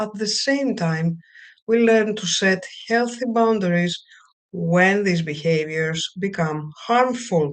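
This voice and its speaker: Speaking at a very slow pace, a woman with a Greek accent uses lively intonation. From Greece. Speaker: counselor. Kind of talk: webinar lecture. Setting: live video stream. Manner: halting.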